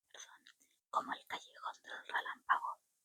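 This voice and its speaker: A woman whispers at a moderate pace, the sound dry and close with no echo. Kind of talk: audiobook-style reading of a novel aloud. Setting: home-recorded, casual setup. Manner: soft-spoken, whispered.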